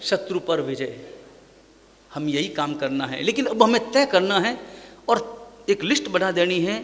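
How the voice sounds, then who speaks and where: A man's high-pitched voice with very wide pitch swings and long, frequent pauses, plus audible room echo and noticeable background noise. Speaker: Jain monk preacher. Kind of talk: sermon.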